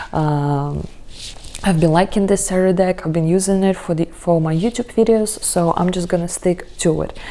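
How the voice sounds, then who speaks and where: A woman with a non-native accent speaks at a moderate pace and a fairly low pitch over noticeable background noise. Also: fairly even intonation. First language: not English. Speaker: tarot reader. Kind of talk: tarot reading video. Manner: casual, hesitant with fillers.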